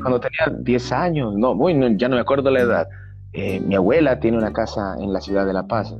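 Clear music plays behind a man who speaks at a moderate pace and a fairly low pitch, in a dry sound with no echo. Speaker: interviewee. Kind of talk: interview answer. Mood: warm, nostalgic, laughs. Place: home room. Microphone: video call.

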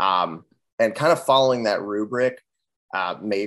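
A man speaks over a quiet background. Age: 20s. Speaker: musician in a band; guest. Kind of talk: casual interview. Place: home room. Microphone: video call.

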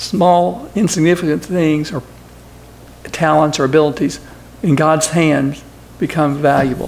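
Against noticeable background noise, a man with a fairly high pitch and ordinary pitch variation speaks at a fairly slow pace with long, frequent pauses. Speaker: lay preacher. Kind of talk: sermon. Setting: church. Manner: halting.

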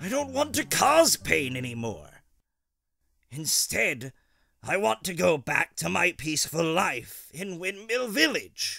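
With a high pitch, a man performs a put-on character voice. His delivery is fairly slow. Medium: dub.

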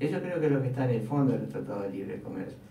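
Light background noise and audible room echo surround a man talking. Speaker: radio commentator. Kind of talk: radio talk commentary on politics. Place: studio.

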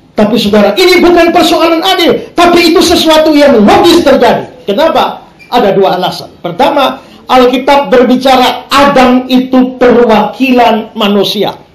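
Moderate-paced speech with audible room echo. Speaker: pastor preaching. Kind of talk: sermon. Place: church.

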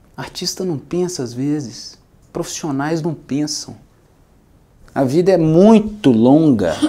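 A man with a fairly high pitch talks at a very slow pace, his lively intonation broken by long, frequent pauses. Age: 30s. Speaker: music producer; speaker. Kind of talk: talk to an audience. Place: studio. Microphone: lapel.

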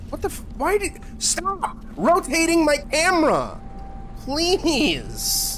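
A man at a very slow pace with big swings in loudness, amid noticeable background noise. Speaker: gaming streamer. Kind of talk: live gameplay commentary. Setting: live stream. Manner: profane, easily frustrated.

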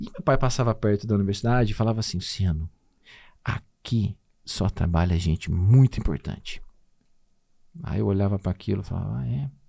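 Over a quiet background, a man talks at a fairly quick pace in a fairly low pitch with a dark, mellow tone, lively intonation and long, frequent pauses. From Minas Gerais, Brazil (Conceição da Aparecida); Minas Gerais, Brazil. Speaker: nutritionist and professor; podcast guest. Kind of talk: casual interview chat. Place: studio. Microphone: studio mic.

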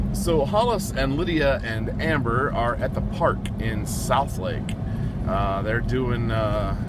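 A man at a very slow pace, dry sound with no echo, loud background noise behind him. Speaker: vlogger. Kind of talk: casual vlog chat. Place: car. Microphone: phone near.

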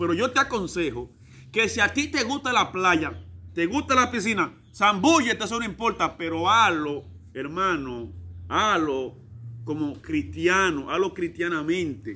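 A man's high-pitched voice with a Dominican accent, animated and bright, sharp in tone, with very wide pitch swings. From Dominican Republic, San Juan; Dominican Republic. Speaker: evangelical preacher. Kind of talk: preaching vlog. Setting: outdoors, in a swimming pool. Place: garden.

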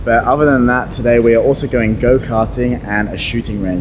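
A man speaks fairly quickly. Behind his voice, music is playing. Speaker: travel vlogger. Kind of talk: casual vlog chat. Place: home room. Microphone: handheld.

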